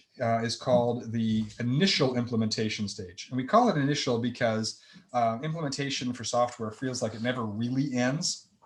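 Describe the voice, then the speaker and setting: A man talks with an American accent at a moderate pace. His medium-pitched voice is somewhat breathy. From US Midwest. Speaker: accounting presenter. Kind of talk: webinar lecture. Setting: online webinar.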